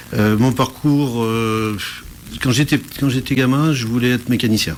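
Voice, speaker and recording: A man talks fairly slowly at a medium pitch, with an unremarkable speaking voice. His intonation is fairly even and his loudness stays very even. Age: 60s. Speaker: entrepreneur, business support network president. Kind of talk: radio interview.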